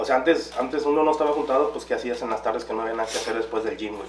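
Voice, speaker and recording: A man's fairly high-pitched voice with lively intonation, amid noticeable background noise and audible room echo. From Guanajuato, Mexico. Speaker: podcast co-host. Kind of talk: casual chat.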